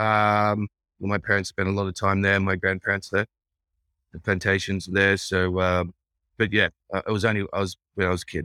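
A man with an Australian accent speaks at a fairly quick pace in a fairly low pitch, his tone bright and sharp. His intonation stays monotone and flat, broken by long, frequent pauses, on a very clean recording with a silent background. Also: dry, close sound with no echo. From Australia, Brisbane, Queensland. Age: 40s. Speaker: entrepreneur and restaurateur. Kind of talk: casual interview chat.

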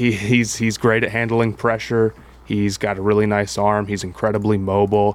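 Someone with an American accent speaks at a moderate pace in a monotone, flat intonation. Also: man. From Columbus, Ohio. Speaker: sports podcast co-host. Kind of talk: casual chat.

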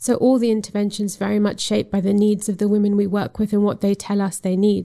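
Here a woman talks at a very fast pace. Her medium-pitched voice is monotone, with flat intonation. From Zambia. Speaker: human rights lawyer and activist. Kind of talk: interview.

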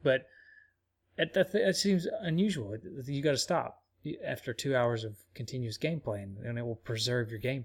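At a moderate pace and medium pitch, a man speaks with lively intonation, a somewhat breathy voice and big swings in loudness. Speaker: podcast host. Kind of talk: casual chat.

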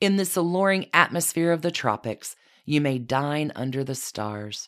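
In a very clean recording with a silent background, a woman speaks at a moderate pace. Her very deep, low voice has a warm, animated tone and very wide pitch swings. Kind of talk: theatrical scripted-style storytelling, vivid scene-setting narration. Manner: animated, dramatic, relishing flourishes; warm, inviting, evocative tone.

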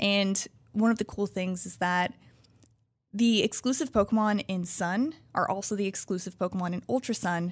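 Medium in pitch, a woman speaks with a plain, everyday voice at a moderate pace and ordinary pitch variation. The background is quiet. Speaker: game journalist. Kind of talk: casual chat.

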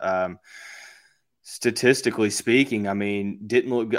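In a plain, everyday voice with an American accent, a man speaks at a moderate pace and fairly low pitch with fairly even intonation, captured in a very clean recording with a silent background. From US South, Louisville, Kentucky. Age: 20s. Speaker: sports podcaster and beat writer. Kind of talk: casual sports chat.

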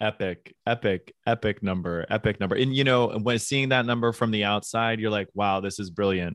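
With a fairly low pitch and fairly even intonation, a man speaks at a fairly quick pace with hardly any pauses, a normal speaking voice. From Pittsburgh, US. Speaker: former Broadway dancer. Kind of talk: casual interview.

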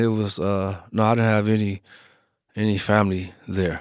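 With a plain, everyday voice and an American accent, a man speaks at a fairly slow pace and fairly low pitch on a very clean recording with a silent background. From Chicago. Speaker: exonerated former prisoner. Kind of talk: personal interview testimony.

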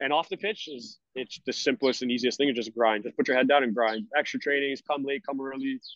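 A man with a Canadian accent talks at a fairly quick pace and a fairly high pitch. He has an ordinary speaking voice. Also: ordinary pitch variation. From Canada, Brampton, Ontario. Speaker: professional football goalkeeper. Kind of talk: casual interview.

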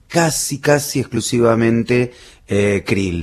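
A man is speaking. His pace is very slow. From Greater Buenos Aires (Bernal, Quilmes), Argentina. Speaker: biologist and zoologist. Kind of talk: radio interview. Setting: Antarctic research base. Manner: hesitant, many fillers.

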